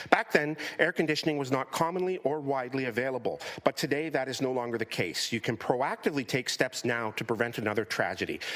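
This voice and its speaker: The speech runs at a very fast pace with hardly any pauses and ordinary pitch variation. Noticeable background noise sits behind it. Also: man, medium pitch for a man. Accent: Canadian. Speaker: community advocate delegate. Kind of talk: public delegation speech. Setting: council committee meeting.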